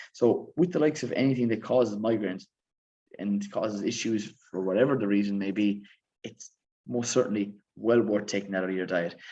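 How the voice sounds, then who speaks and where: In an Irish accent, a man speaks at a fairly quick pace. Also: fairly low pitch for a man, ordinary pitch variation. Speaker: fitness coach and author. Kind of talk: live stream Q&A. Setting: live stream. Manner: fast.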